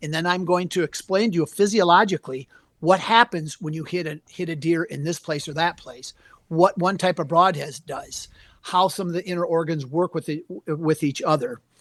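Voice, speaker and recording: A man with a Wisconsin accent and a high pitch, moderate pace, ordinary pitch variation and big swings in loudness, dry, close sound with no echo against a quiet background. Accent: Upper Midwest (Wisconsin) American. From US Upper Midwest, southern Wisconsin. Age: 60s. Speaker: taxidermist and hunting anatomy teacher. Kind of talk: podcast interview.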